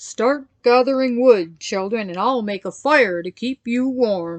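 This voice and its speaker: Doing a put-on character voice, a woman speaks fairly slowly at a fairly high pitch, with ordinary pitch variation, big swings in loudness, and a dry, close sound with no echo. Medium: read story. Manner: gentle, troubled.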